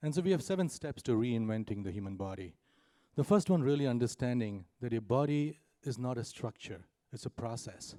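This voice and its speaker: With a dark, mellow tone, a man talks at a fairly quick pace in a medium pitch. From India. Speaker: startup founder. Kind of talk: conference panel presentation. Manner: fast.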